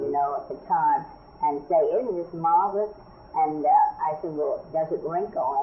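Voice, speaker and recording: Noticeable background noise sits behind this woman's voice. She has an American accent and keeps a moderate pace. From New York City. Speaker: fashion designer. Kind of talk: oral history interview answer.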